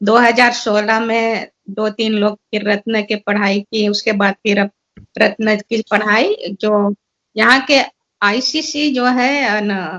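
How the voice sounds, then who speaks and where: Here a woman talks with fairly even intonation. Her pitch sits fairly high. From Suriname. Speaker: seminar speaker. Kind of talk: seminar talk. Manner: halting.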